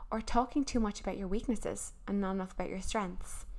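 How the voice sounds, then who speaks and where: A woman in a Cork accent, with fairly even intonation. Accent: Irish, Cork. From Ireland, Cork. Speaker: podcast host. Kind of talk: solo advice talk.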